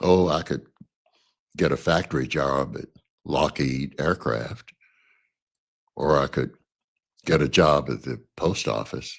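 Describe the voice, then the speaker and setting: At a fairly slow pace with long, frequent pauses, a man with an American accent speaks in a very deep, low pitch with vocal fry and ordinary pitch variation. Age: 80s+. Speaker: social activist, former university professor. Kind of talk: podcast introduction talk.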